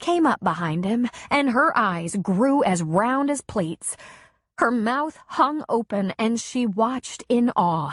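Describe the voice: The delivery is plain reading aloud, carried by lively intonation.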